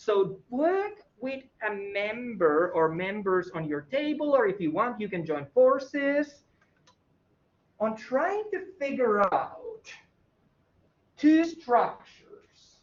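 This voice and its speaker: The speaker has a non-native accent and talks at a very slow pace. Long, frequent pauses break up the speech. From former Soviet Union. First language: not English. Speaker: college instructor. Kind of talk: lecture. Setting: classroom, recorded for online students. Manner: casual, conversational.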